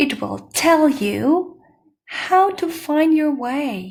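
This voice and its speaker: A woman uses a put-on character voice with a high pitch and a calm, warm tone. She speaks at a very slow pace. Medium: read story.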